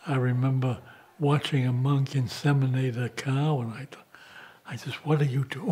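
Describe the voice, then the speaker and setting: A man with an American accent speaks at a moderate pace in a plain, everyday voice. His intonation is fairly even, but his loudness swings widely. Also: medium pitch for a man. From US Northeast, Boston. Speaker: monk. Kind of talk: documentary interview.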